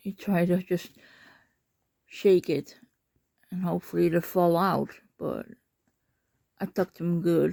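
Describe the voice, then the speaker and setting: In a Dutch accent, a woman speaks at a fairly slow pace with long, frequent pauses, her fairly low voice dark and mellow in tone, monotone and flat in intonation, and dry and close with no echo. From Netherlands. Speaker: pet owner vlogger. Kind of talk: casual talk to pet while filming. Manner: encouraging, coaxing.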